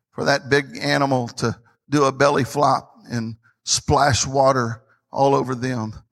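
A man speaks at a medium pitch with a Tennessee accent. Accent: Southern US (Tennessee). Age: 50s. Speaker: pastor. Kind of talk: sermon. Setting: church. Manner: animated.

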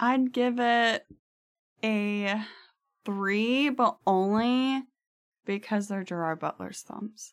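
A woman at a fairly high pitch, at a very slow pace with long, frequent pauses and ordinary pitch variation. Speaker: guest. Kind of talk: casual chat. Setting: studio.

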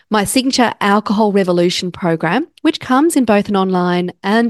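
In an Australian accent, a woman speaks at a medium pitch. The background is quiet. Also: dry, close sound with no echo. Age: 40s. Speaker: podcast host, counsellor and coach. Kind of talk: solo podcast talk.

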